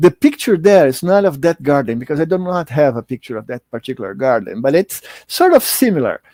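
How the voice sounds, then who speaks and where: A man with a Portuguese accent speaks at a fairly quick pace and a fairly high pitch, with lively intonation and hardly any pauses. The recording is very clean with a silent background and a dry, close sound with no echo. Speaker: spiritist lecturer. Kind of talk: lecture. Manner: halting, many fillers and repetitions.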